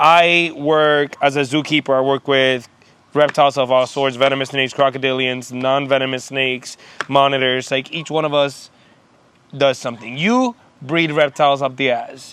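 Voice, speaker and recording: A man talks in a fairly high voice with monotone, flat intonation. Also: moderate pace. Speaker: zookeeper and podcast co-host. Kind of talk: casual chat. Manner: loud.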